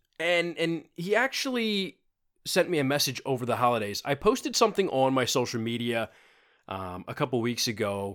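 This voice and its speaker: A man at medium pitch and moderate pace on a very clean recording with a silent background. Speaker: fitness podcaster. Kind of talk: unscripted solo podcast monologue. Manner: casual, with frequent fillers and repetitions.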